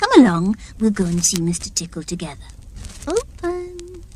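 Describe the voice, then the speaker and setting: The speaker uses a put-on character voice at a moderate pace. Background noise is clearly heard. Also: woman. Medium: read story. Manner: brisk, commanding.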